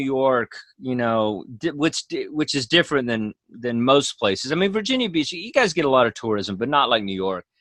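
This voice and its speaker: Against a quiet background, a man with an American accent swings his pitch very widely, the sound dry and close with no echo. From Texas. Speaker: stand-up comedian. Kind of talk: casual chat. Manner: fast; animated.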